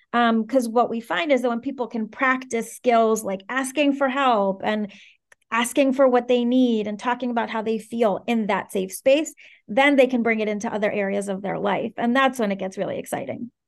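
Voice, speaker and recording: An unremarkable speaking voice with an American accent, fairly even intonation and a moderate pace over a quiet background. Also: woman, fairly high pitch for a woman. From Venezuela and Washington D.C. area. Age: 30s. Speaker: startup co-founder and COO. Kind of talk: podcast interview.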